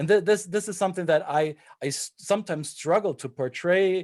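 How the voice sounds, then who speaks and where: Recorded very cleanly against a silent background, a man with a German accent speaks at a high pitch with ordinary pitch variation. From Germany. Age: 40s. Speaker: intercultural trainer. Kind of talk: panel discussion. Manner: halting.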